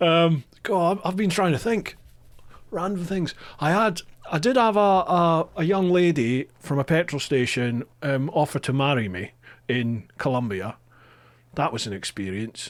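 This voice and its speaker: A man with a Scottish accent speaks fairly slowly at a fairly high pitch with very wide pitch swings, in a very clean recording with a silent background. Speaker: podcast host. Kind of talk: casual chat.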